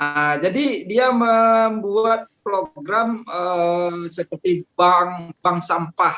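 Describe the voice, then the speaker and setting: Very slowly and with hardly any pauses, a man speaks in a high pitch with a bright, sharp tone, ordinary pitch variation and very even loudness, in a dry, close sound with no echo. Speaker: traffic police officer. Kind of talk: podcast interview. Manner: halting, many fillers.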